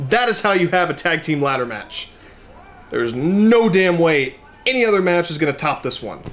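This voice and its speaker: A man speaks loudly in a high pitch with an animated tone. His pace is moderate, with music in the background. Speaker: wrestling fan reviewer. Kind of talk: angry rant reacting to a wrestling match, indignant and cursing; video reaction/review. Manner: animated, loud, exasperated and sarcastic. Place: home room. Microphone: camera far.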